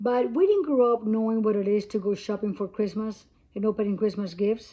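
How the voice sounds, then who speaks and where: A woman speaks against a quiet background. Her pitch sits fairly high, with a dark, mellow tone. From Cuba. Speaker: vlogger. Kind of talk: casual talk to camera. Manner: halting.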